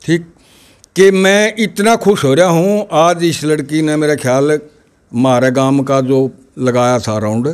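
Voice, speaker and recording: Very slow pace with lively intonation over a quiet background. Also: man, fairly high pitch for a man. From Haryana, India. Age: 70s. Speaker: village elder, grandfather of a top student; interviewee. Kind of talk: interview. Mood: happy, animated. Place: home room. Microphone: handheld.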